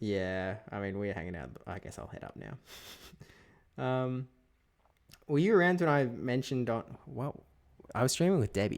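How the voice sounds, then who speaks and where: A man's medium-pitched voice at a moderate pace, with very wide pitch swings, big swings in loudness, and long, frequent pauses. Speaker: gaming streamer. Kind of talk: casual chat. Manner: clear, understandable.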